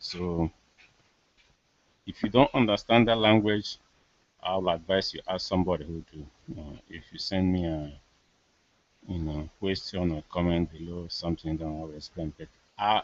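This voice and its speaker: Speaking at a moderate pace with a very deep, low pitch and ordinary pitch variation, a man takes long, frequent pauses while his loudness swings widely. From Nigeria. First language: Igbo. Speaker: political commentator. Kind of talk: live monologue. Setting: live video hangout.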